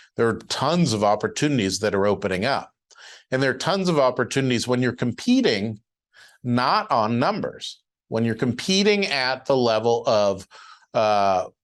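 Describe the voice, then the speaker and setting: A man with medium pitch and a plain, everyday voice, lively intonation, very even loudness and a moderate pace, over a quiet background. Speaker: syndication lawyer and webinar presenter. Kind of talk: webinar presentation. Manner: casual with many filler words.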